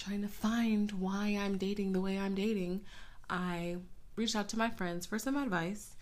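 At a fairly slow pace, a woman talks in a medium pitch with audible room echo around her. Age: 20s. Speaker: podcast host. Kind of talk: casual solo podcast monologue.

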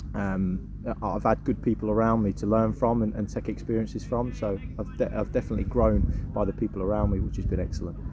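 A man speaks at a very fast pace. He has an English accent. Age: 20s. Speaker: goalkeeping coach. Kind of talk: interview.

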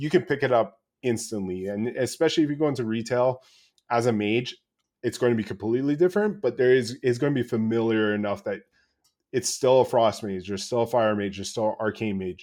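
An unremarkable speaking voice talks at a fairly quick pace. Its pitch varies in an ordinary way. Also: man, medium pitch for a man. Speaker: gamer guest. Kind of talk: casual chat about video games. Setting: remote call.

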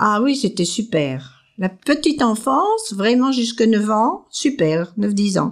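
A woman's fairly high voice moves through very wide pitch swings at a very slow pace. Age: 80s+. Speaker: retired sewing teacher, host's grandmother. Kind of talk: casual interview.

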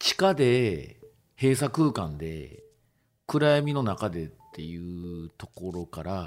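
Very deep and low, a man's voice moves at a very slow pace with very wide pitch swings and big swings in loudness. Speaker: DJ and music producer. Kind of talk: casual chat. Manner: halting.

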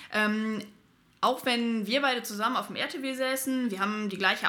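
Speaking at a moderate pace, a woman with a fairly high pitch keeps her intonation fairly even. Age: 20s. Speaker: paramedic and firefighter trainee. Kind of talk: casual chat. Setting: studio, in person.

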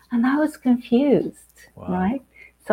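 This woman has a Portuguese accent. Her intonation is lively. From Angola. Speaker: life coach and author. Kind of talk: casual interview.

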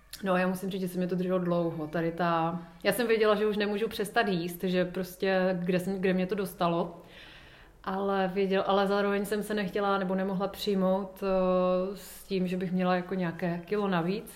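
Audible room echo surrounds a woman's voice. Her intonation is monotone and flat. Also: medium pitch for a woman, moderate pace. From Ostrava, Czech Republic. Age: 30s. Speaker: yoga teacher. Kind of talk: casual interview.

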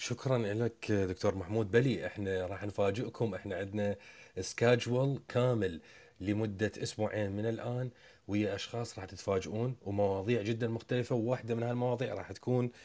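A man with an Iraqi accent, dark and mellow in tone, fairly low in pitch, fairly even in intonation and moderate in pace, in a very clean recording with a silent background. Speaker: podcast host. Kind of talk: panel moderation.

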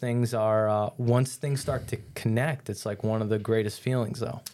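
A man speaks at a moderate pace and medium pitch with a dark, mellow tone. The recording is very clean, with a silent background. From New York. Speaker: fitness coach. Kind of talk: casual interview.

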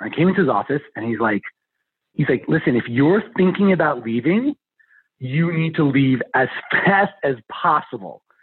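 A man with a plain, everyday voice, fairly high in pitch, at a moderate pace with lively intonation. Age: 40s. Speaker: DIY kit entrepreneur. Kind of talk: interview.

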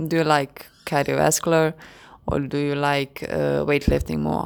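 A woman with a Croatian accent speaks at a very deep, low pitch. Her pace is fairly slow and her intonation fairly even. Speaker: podcast host. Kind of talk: solo podcast talk, partly read-out explainer. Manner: hesitant, many fillers.

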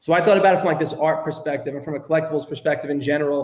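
Speaking with a Brooklyn accent, a man's voice sits at a fairly high pitch. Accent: New York (Brooklyn). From New York, Brooklyn. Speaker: tech startup co-founder. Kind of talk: podcast interview.

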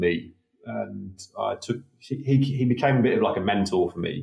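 The speaker is a man. He has a slight British accent. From UK. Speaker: conservation researcher. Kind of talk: interview, conversational.

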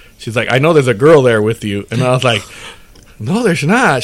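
With noticeable noise in the background, a man speaks rather quickly. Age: 40s. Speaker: podcast host. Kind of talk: casual chat.

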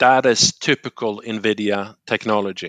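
A man with a Swedish accent speaks at a fairly low pitch in a bright, sharp tone with fairly even intonation, the sound dry and close with no echo over a quiet background. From Sweden, Gothenburg. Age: 40s. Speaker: tech industry manager. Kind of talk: podcast interview.

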